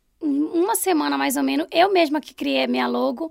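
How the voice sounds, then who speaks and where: On a very clean recording with a silent background, a woman's voice swings very widely in pitch. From Pará, Brazil (Belém). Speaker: food business owner. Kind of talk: interview.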